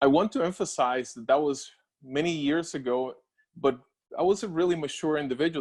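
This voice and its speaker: Talking at a very fast pace, a man with a Spanish accent has a fairly high pitch and ordinary pitch variation. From Puerto Rico. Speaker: scientist and doctoral scholar alumnus. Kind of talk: personal story presentation with slides. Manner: halting, with fillers.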